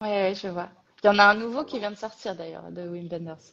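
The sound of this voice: A woman talks fast at a medium pitch with ordinary pitch variation. Her tone is fairly bright, with vocal fry.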